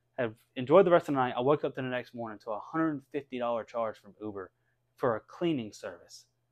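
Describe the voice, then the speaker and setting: A man talks at a very fast pace. His pitch is medium, with ordinary pitch variation. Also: big swings in loudness, dry, close sound with no echo, quiet background. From US South (North Carolina). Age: 20s. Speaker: video game streamer. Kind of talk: casual chat.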